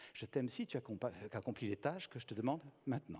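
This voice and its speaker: A man speaks at a medium pitch. His voice carries vocal fry. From Belgium. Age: 60s. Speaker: speaker on communication and psychology. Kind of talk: conference talk.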